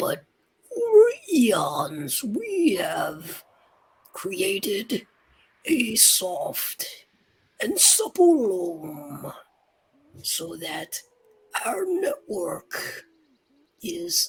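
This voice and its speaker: A put-on character voice, raspy and fairly high, at a very slow pace with long, frequent pauses. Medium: actual play. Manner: slow, gentle.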